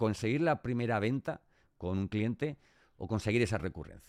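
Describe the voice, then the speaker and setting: Over a silent background in a very clean recording, a man speaks at a moderate pace with lively intonation, the sound dry and close with no echo. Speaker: podcast host. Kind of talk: interview.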